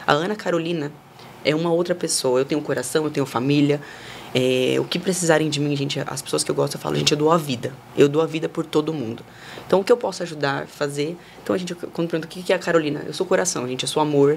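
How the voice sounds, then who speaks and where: A woman's very deep, low voice at a very fast pace, with ordinary pitch variation and noticeable background noise. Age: 20s. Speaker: model and influencer. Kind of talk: casual chat. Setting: studio.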